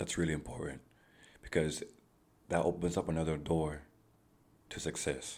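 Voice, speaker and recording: Speaking at a moderate pace with long, frequent pauses, a man uses a very deep, low voice with vocal fry and monotone, flat intonation. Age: 20s. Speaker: solo podcast host. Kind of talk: casual monologue. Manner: conversational, with many fillers.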